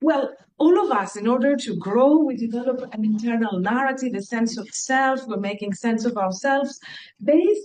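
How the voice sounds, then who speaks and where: Speaking with a Greek accent, a woman uses a high pitch and lively intonation. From Greece. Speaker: university researcher. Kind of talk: lecture. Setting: lecture hall with audience, also streamed online.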